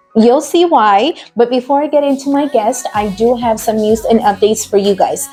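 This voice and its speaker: Over music in the background, a woman with a high voice speaks at a moderate pace with hardly any pauses. Her loudness stays very even, and her pitch varies an ordinary amount. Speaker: radio show host. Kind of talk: radio show hosting.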